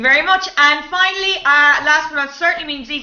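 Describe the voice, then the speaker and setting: A high-pitched woman with an Irish accent at a fairly quick pace. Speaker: improv comedian and show host. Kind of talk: live online improv show hosting. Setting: video call. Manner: animated.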